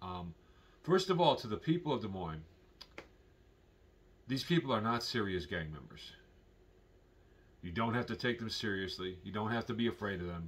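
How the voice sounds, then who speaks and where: At a moderate pace with long, frequent pauses, a man with a fairly low pitch makes very wide pitch swings and big swings in loudness. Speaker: vlogger. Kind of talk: casual vlog commentary.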